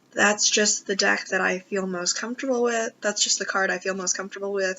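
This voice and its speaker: At a fairly quick pace, a woman speaks at medium pitch with fairly even intonation over noticeable background noise. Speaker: tarot reader. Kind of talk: casual talk to camera.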